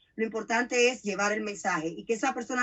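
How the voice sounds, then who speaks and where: Pitch varies in an ordinary way across an ordinary speaking voice. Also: woman. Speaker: radio host. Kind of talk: interview.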